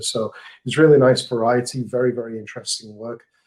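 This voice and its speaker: With an English accent, a man speaks at a moderate pace and a medium pitch. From England. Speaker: marketing manager. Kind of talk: podcast interview.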